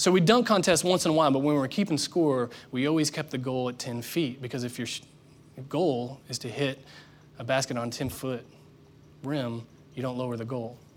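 A man with an ordinary speaking voice moves at a fairly quick pace, holding a medium pitch with ordinary pitch variation. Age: 30s. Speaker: pastor. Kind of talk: sermon.

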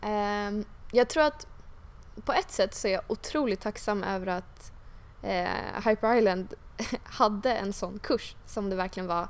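A woman with a medium pitch speaks at a fairly slow pace with ordinary pitch variation. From Stockholm suburbs (Huddinge). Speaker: tech entrepreneur. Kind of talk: interview. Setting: office. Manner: hesitant, many fillers.

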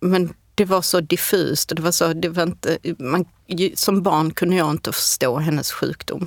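A woman's fairly low voice, a plain, everyday voice, at a moderate pace, with fairly even intonation and very even loudness, in a dry, close sound with no echo. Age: 40s. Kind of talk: interview. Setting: studio.

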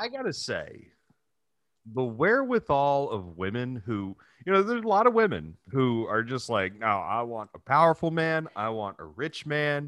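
Captured on a very clean recording with a silent background, a man with a fairly high pitch talks at a moderate pace, his pitch swinging very widely. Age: 30s. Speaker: podcast co-host. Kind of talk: casual chat.

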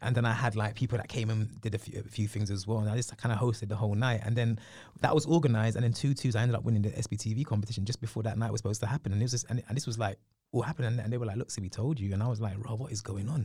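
A man with a London accent speaks at a very fast pace in a medium pitch, his tone dark and mellow and somewhat breathy. The recording is very clean, with a silent background. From northwest London. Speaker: TV presenter. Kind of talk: interview. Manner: animated.

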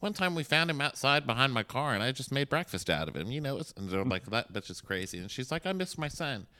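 A man talks very fast with hardly any pauses, at a medium pitch with very wide pitch swings, vocal fry and a bright, sharp tone, on a very clean recording with a silent background. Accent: American. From Texas. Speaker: podcast host. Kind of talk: casual chat. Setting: hotel room.

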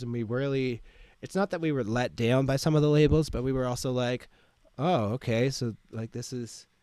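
In a plain, everyday voice, a man talks at a moderate pace and medium pitch with fairly even intonation, on a very clean recording with a silent background. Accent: Canadian. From Ottawa, Ontario, Canada. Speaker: DJ and music producer. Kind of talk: casual interview chat.

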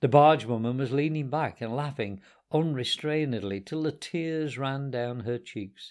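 Read aloud in a natural voice, the delivery has ordinary pitch variation.

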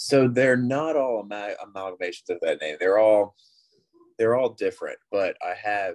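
Recorded dry and close with no echo, this man's speech runs at a moderate pace. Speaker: gamer guest. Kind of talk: casual chat.

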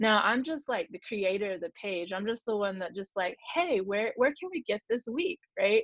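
Speaking in an American accent, a woman uses a normal speaking voice, fairly high in pitch, with lively intonation and hardly any pauses at a moderate pace. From Oklahoma. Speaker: Native breastfeeding advocate and student midwife. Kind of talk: interview conversation.

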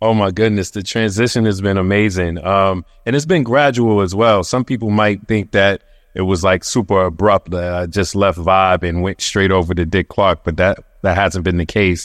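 Speech comes at a moderate pace. It is a plain, everyday voice. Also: man, fairly low pitch for a man, ordinary pitch variation. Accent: American. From Brooklyn, New York. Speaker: magazine editor turned TV producer. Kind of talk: panel discussion.

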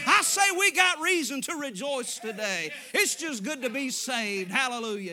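A man with an American accent talks in a raised, projected voice at a moderate pace. His pitch swings very widely, and background noise is noticeable. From Arkansas. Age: 30s. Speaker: evangelist preacher. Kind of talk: sermon. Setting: church. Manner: animated.

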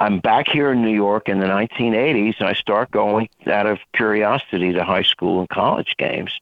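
A man speaks in a plain, everyday voice with a fairly low pitch and fairly even intonation. His pace is moderate and his loudness very even. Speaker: baseball author and former professor. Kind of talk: casual interview.

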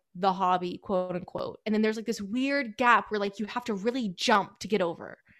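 A woman with a fairly high pitch speaks in an American accent. Her pace is fairly quick, with ordinary pitch variation. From US South, Metro Atlanta, Georgia. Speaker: reptile keeper and YouTuber. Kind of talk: casual interview chat.

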